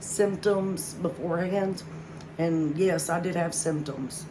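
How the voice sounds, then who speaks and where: A woman speaks in a fairly low pitch with monotone, flat intonation over noticeable background noise. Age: 40s. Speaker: heart attack survivor. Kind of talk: personal story told to camera.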